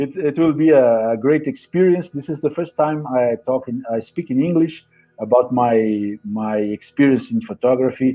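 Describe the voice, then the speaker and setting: Over music in the background, a man with a Portuguese accent speaks at a medium pitch and a moderate pace, with ordinary pitch variation and hardly any pauses. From Brazil. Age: 50s. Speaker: photographer and educator. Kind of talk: interview. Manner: halting.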